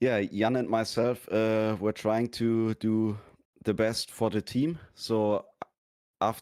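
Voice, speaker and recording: With a German accent, a man speaks at a very slow pace, his intonation monotone and flat and his loudness very even. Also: medium pitch for a man. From Germany. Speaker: sim racing driver. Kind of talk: post-race interview. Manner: halting.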